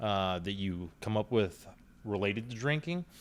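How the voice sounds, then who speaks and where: In a very clean recording with a silent background, a man with an ordinary speaking voice talks at a moderate pace with lively intonation. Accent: American. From Ohio. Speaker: entrepreneur and bar owner. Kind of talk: casual chat.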